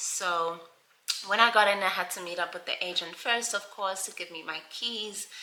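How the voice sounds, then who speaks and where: There is noticeable background noise. A woman with a medium pitch talks at a fairly slow pace. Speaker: lifestyle vlogger. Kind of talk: casual vlog.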